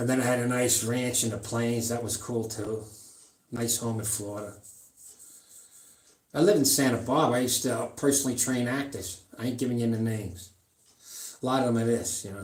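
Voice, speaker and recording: Audible room echo surrounds a man who speaks at a fairly quick pace with fairly even intonation and long, frequent pauses. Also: medium pitch for a man. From New York, Long Island. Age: 70s. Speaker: powerlifter and fitness streamer. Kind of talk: casual live-stream chat. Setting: home gym. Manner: rambling, halting.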